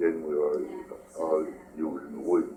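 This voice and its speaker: Audible room echo and noticeable background noise surround the voice. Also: man. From New Brunswick, Acadian Canada. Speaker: war veteran. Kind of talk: oral history interview. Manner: halting.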